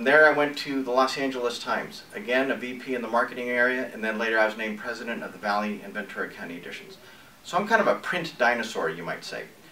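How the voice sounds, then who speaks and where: Over noticeable background noise and audible room echo, a man with an American accent talks very fast at a medium pitch, his intonation lively and his loudness swinging widely. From New England and Northern California. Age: 60s. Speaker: entrepreneur and newspaper publisher. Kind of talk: personal pitch video.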